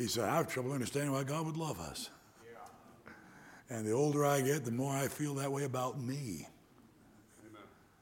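A plain, everyday voice speaks with an American accent. The pace is moderate and the pitch variation ordinary. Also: man, medium pitch for a man. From US Midwest, Detroit area. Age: 60s. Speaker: preacher. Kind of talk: sermon. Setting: church.

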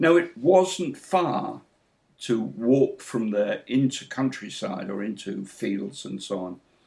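A man at a medium pitch with very wide pitch swings, big swings in loudness and vocal fry, at a very slow pace. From northern England, Hull. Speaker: biology professor. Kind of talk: interview. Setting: video call. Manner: halting.

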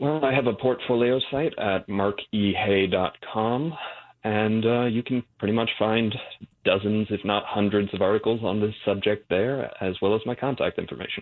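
Fairly low male voice, an unremarkable speaking voice, at a moderate pace with fairly even intonation and very even loudness. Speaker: writer on men's issues. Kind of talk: panel discussion.

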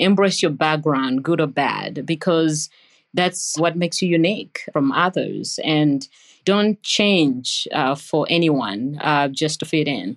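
Speaking very slowly in a very deep, low voice with a Ugandan accent, a woman keeps her loudness very even and her pitch variation ordinary. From Uganda (Entebbe). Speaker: nursing professor. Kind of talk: interview. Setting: remote call.

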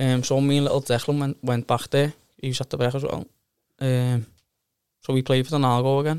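A man's medium-pitched voice at a fairly quick pace, flat and monotone, broken by long, frequent pauses, with a dry, close sound and no echo. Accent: Liverpool. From Liverpool, England. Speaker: amateur footballer. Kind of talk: casual interview chat.

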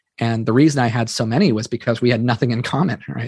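A man with a Californian accent talks at a very fast pace in a medium pitch. The sound is dry and close, with no echo. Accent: General American (Californian). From US West Coast, Silicon Valley. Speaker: entrepreneur, company founder. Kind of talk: interview conversation.

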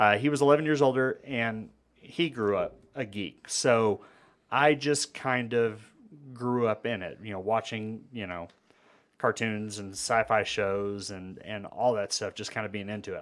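On a very clean recording with a silent background, a man with an American accent speaks in a normal speaking voice at a moderate pace. His medium pitch shows ordinary variation, while his loudness swings widely. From Amarillo, Texas. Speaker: podcast host. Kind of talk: casual chat.

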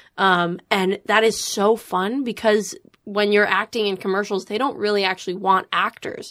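With fairly even intonation, a woman speaks in a normal speaking voice at medium pitch and a moderate pace. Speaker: social media creator and actor. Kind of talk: casual chat. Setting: studio.

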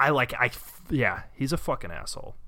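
On a very clean recording with a silent background, a man with a bright, sharp tone and vocal fry speaks at a moderate pace with ordinary pitch variation. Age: 30s. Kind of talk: casual chat. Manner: animated.

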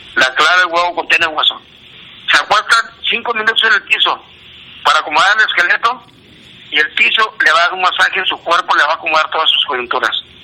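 A man with a northern Mexican accent at a high pitch, very fast pace with long, frequent pauses, ordinary pitch variation, and noticeable background noise. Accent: Juárez border Spanish. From northern Mexico border, Ciudad Juárez. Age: 60s. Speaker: amateur barefoot runner. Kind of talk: phone monologue of health tips.

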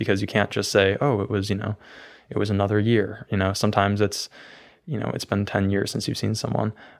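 The recording is very clean, with a silent background. The intonation is monotone and flat. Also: man. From Maine. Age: young. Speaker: student poet and filmmaker. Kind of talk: poetry reading; interview.

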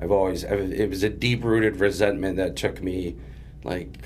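A man with an American accent speaks at a very deep, low pitch and a fairly slow pace. His pitch swings very widely. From Springfield, Massachusetts. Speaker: person in addiction recovery. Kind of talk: testimony. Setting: studio.

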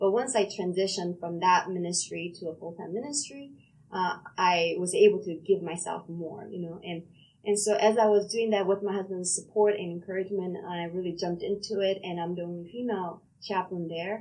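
In a Korean accent, the speaker moves at a fairly quick pace with fairly even intonation and big swings in loudness. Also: woman, medium pitch for a woman. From South Korea. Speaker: pastor and police chaplain. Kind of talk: interview conversation.

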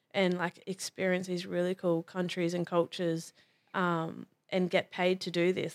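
In a dry, close sound with no echo, a woman with an Australian accent speaks at a fairly low pitch in a monotone, flat way. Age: 20s. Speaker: rugby league player and firefighter. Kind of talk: casual chat.

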